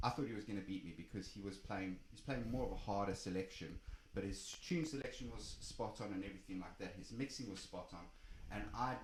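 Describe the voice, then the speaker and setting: A man talks at a very fast pace, his voice somewhat breathy. Room echo is audible. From South Africa. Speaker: DJ. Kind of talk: casual interview chat. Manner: animated storytelling.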